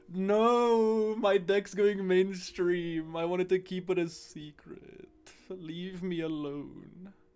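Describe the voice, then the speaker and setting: At a very slow pace, a man speaks in a high pitch with fairly even intonation. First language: not English. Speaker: card game streamer. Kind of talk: live stream gameplay commentary. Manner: casual, halting with fillers.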